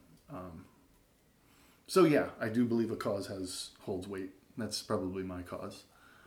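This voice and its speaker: A man's fairly low, somewhat breathy voice at a fairly slow pace, with big swings in loudness, long, frequent pauses and audible room echo. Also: ordinary pitch variation. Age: 40s. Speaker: elementary school teacher. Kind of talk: casual chat.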